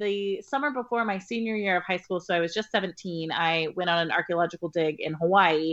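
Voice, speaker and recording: In a Californian accent, a woman speaks at a moderate pace with hardly any pauses. The background is quiet. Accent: US West Coast (Californian). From rural Northern California. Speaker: novelist. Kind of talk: interview conversation.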